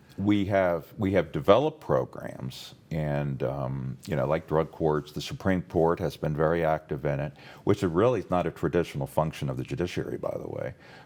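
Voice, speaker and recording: A man with an American accent, very deep and low in pitch with vocal fry, ordinary pitch variation, moderate pace and hardly any pauses, on a very clean recording with a silent background. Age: 60s. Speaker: former state prosecutor. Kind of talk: interview. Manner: halting, many fillers.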